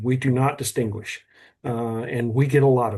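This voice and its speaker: With a Texan accent and a dark, mellow tone, a man speaks at a moderate pace over a quiet background. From south Texas (Cuero). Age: 60s. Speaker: museum representative. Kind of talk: video call interview. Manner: halting, repetitive.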